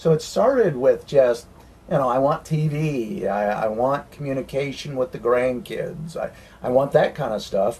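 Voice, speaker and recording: Speaking at a fairly slow pace with an American accent, a man with a fairly high pitch sounds somewhat breathy and uses ordinary pitch variation. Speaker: RV renovation business owner. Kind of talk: interview.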